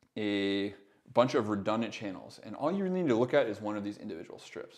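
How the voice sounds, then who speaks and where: The speech comes very fast and mumbled. Its pitch swings very widely. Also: man, quiet background. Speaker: audio production mentor. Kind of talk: tutorial. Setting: live stream. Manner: mumbly; casual, hesitant with fillers.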